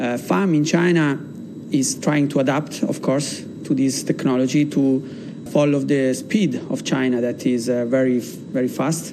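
Medium pitch from a man with an Italian accent, fairly even intonation and a fairly slow pace, with noticeable background noise and audible room echo. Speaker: battery company executive. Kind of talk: interview. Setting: studio.

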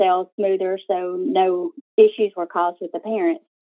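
A woman talks at a fairly slow pace in an unremarkable speaking voice. Her pitch is medium, with ordinary pitch variation. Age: 40s. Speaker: coaching client. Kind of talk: coaching call. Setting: recorded call.

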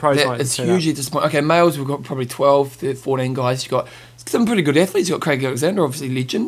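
A man speaks at a very fast pace with a New Zealand accent. His voice is fairly high and has ordinary pitch variation. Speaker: podcast host.

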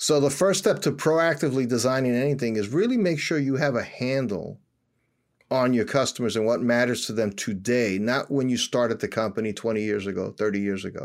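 In a very clean recording with a silent background, a man with an American accent and a normal speaking voice talks at a medium pitch and a fairly quick pace with lively intonation. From New York City, Washington Heights. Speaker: company founder and CEO. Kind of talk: interview.

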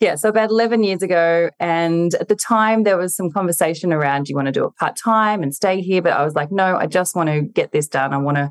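The voice moves at a fairly quick pace with ordinary pitch variation, captured with a dry, close sound, no echo and a quiet background. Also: woman. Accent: Australian. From regional New South Wales, Australia. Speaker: nurse injector and business coach. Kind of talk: casual interview. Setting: at home, remote call.

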